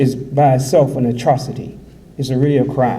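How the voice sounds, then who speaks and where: With an American accent, this somewhat breathy voice has a dark, mellow tone, a moderate pace and audible room echo. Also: man. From USA. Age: 60s. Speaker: imam. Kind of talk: conference speech.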